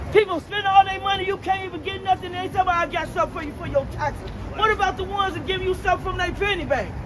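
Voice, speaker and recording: In an American accent, a woman talks at an extremely high pitch and a very fast pace, with hardly any pauses. Her tone is animated, and crowd noise runs in the background. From Chicago, US. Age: 60s. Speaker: street passerby. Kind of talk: street debate. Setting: outdoors.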